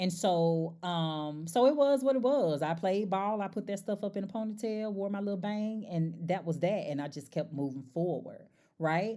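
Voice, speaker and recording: With a slight country accent and a dark, mellow tone, a woman at medium pitch speaks at a moderate pace with lively intonation and hardly any pauses, in a very clean recording with a silent background. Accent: slight country twang. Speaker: life coach and podcast host. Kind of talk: casual monologue. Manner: animated.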